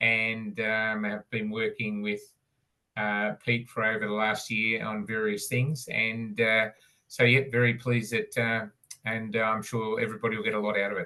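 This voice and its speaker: A man with an Australian accent speaks at a moderate pace in a monotone, flat intonation. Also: medium pitch for a man. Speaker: cybersecurity company staff. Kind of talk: self-introduction.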